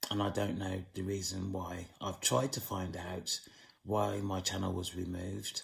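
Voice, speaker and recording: A man speaks fairly slowly with a very deep, low pitch, vocal fry and monotone, flat intonation. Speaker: channel owner speaking on the supernatural and witchcraft. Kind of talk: monologue to camera. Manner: slow, deliberate.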